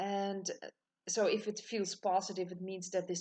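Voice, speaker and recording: The speaker has a Dutch accent and vocal fry. The pace is moderate. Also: woman. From Netherlands. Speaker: tarot reader. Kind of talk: tutorial. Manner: halting.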